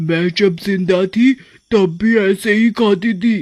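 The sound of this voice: This is a cartoonish character voice at a middle pitch. It moves at a fairly slow pace.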